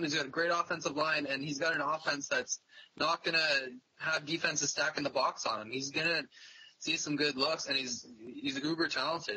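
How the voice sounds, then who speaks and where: A man with an unremarkable speaking voice and a fairly high pitch talks with a Canadian accent. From Canada. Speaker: fantasy football writer and editor; podcast panelist. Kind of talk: casual chat. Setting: phone call. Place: home room. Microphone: video call.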